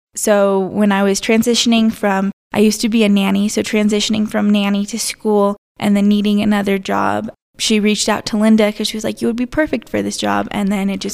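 Speaking fairly quickly in an American accent, a woman keeps a medium pitch and a monotone, flat intonation. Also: hardly any pauses. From Colorado, San Luis Valley. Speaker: chamber of commerce assistant manager. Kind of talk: interview.

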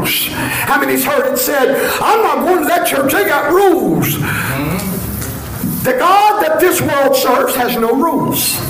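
Noticeable background noise sits behind a man with an extremely high pitch and lively intonation. He speaks at a fairly slow pace with very even loudness and hardly any pauses. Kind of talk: sermon. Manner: animated; loud, call-and-response preaching.

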